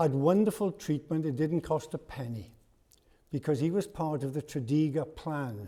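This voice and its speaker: A man speaks with a Welsh accent and ordinary pitch variation. His fairly high voice has a dark, mellow tone. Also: moderate pace. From South Wales. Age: 80s+. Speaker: parliamentary candidate. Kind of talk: hustings speech.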